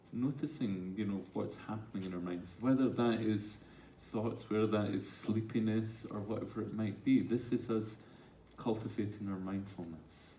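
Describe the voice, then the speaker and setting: A man of fairly low pitch with fairly even intonation at a moderate pace, in audible room echo. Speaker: mindfulness teacher. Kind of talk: talk with audience Q&A. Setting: stage with audience.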